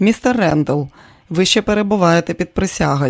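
Someone simply reads aloud, plainly.

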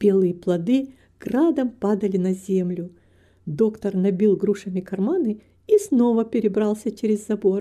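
The pitch varies in an ordinary way in this unforced reading voice.

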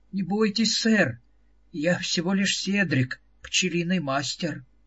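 A put-on character voice from a man, high-pitched, shaky, with lively intonation. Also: fairly slow pace. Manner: frightened, reassuring.

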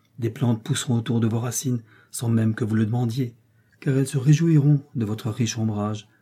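The voice reads without any strain or effort.

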